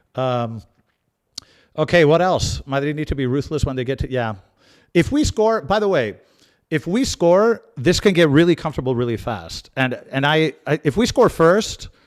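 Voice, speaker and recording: A man with an American accent and a fairly high pitch talks at a moderate pace with lively intonation, on a very clean recording with a silent background. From Spain and US, half life each. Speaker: football channel host. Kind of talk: live watch-along chat reading comments. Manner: casual, many fillers and repeats.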